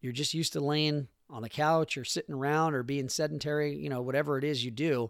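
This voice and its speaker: Speaking at a very fast pace with hardly any pauses, a man with a fairly high pitch keeps his intonation fairly even on a very clean recording with a silent background. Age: 40s. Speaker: podcast host. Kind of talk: solo motivational monologue. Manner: casual with many filler words.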